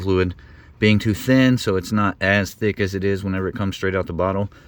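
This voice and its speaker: At a very fast pace, a man speaks with a fairly low pitch and a monotone, flat intonation in a very clean recording with a silent background. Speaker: DIY car repair youtuber. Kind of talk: casual tutorial. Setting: outdoors in driveway.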